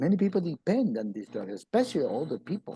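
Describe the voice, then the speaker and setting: A man's high-pitched voice in a dark, mellow tone, fairly quick and with very wide pitch swings, in a dry, close sound with no echo. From Peru, then US from childhood. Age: 70s. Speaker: health presenter. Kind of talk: informal health talk. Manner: halting, many repetitions.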